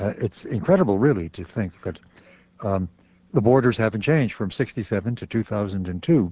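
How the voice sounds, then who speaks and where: With lively intonation, a man speaks at a moderate pace in a fairly low pitch, using an ordinary speaking voice. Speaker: radio talk show host. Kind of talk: radio interview. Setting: studio.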